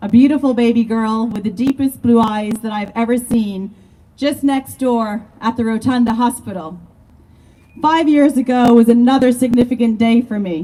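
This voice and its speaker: A woman with a dark, mellow tone speaks in a fairly high pitch at a moderate pace with ordinary pitch variation. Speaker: community activist. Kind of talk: protest speech. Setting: outdoor protest rally.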